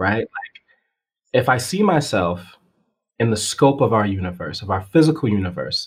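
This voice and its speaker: A man speaks at a moderate pace and medium pitch, somewhat breathy, with very wide pitch swings. His speech has long, frequent pauses. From Massachusetts (Springfield). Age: 30s. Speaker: physics teacher. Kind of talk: casual chat. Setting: call.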